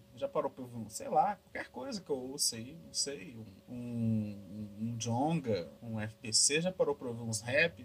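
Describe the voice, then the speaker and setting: Over noticeable background noise, a man with a medium-pitched voice talks at a fairly slow pace with hardly any pauses, lively intonation and big swings in loudness. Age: 20s. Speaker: podcast host. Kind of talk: casual solo monologue. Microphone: laptop recording, noisy audio.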